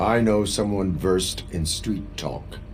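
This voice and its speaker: Against clear background noise, a man uses a put-on character voice at a fairly slow pace. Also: fairly low pitch for a man. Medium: video game. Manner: flat, clipped, no contractions.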